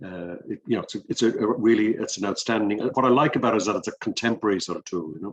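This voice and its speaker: In an Irish accent, a man with a fairly low pitch talks at a very fast pace with hardly any pauses. His pitch varies in an ordinary way, and the sound is dry and close with no echo. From Ireland. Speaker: business director and executive coach. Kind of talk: interview. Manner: halting, many fillers.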